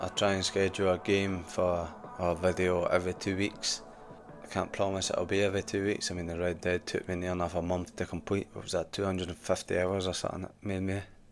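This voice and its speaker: A man with a very deep, low voice and a Scottish accent speaks at a very fast pace in a monotone, flat delivery. Music plays in the background. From Scotland. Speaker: gaming YouTuber. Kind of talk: casual vlog to camera. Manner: casual, conversational.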